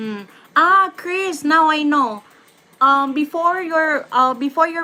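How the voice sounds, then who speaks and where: The voice is raised and projected, in a Filipino accent. The pace is fairly slow. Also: woman. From Philippines. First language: Tagalog or Bisaya. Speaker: YouTube live streamer. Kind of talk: live stream Q&A. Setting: YouTube live stream. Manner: hesitant, many fillers.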